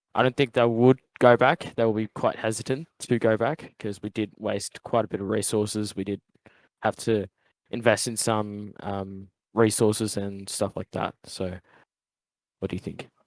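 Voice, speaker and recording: A man with an Australian accent speaks at a moderate pace in a fairly low pitch with fairly even intonation. The recording is very clean with a silent background and a dry, close sound with no echo. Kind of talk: casual debate.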